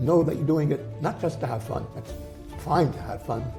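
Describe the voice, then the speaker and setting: A man's voice with music in the background. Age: 80s+. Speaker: health author. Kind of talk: interview answer.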